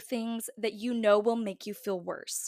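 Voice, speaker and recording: A woman is heard in a very clean recording with a silent background. The sound is dry and close, with no echo. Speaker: podcast host. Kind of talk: solo podcast monologue. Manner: casual, chatty.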